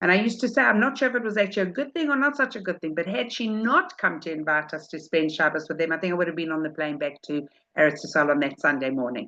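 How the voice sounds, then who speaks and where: Against a quiet background, a woman with a South African accent and a fairly low pitch races at a very fast pace with hardly any pauses and very wide pitch swings. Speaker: rebbetzin, religious teacher. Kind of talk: religious talk. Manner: informal, conversational.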